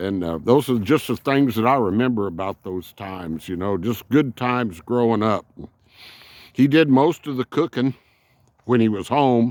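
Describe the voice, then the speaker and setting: A man talks at a moderate pace with medium pitch and lively intonation. The sound is dry and close, with no echo. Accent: Texan. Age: 70s. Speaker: RV vlogger. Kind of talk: casual vlog monologue. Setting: outdoors. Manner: halting.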